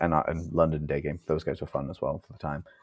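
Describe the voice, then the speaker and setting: In an English Midlands accent, a man speaks at a fairly quick pace. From England, Leicester. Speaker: copywriter. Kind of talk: casual interview chat.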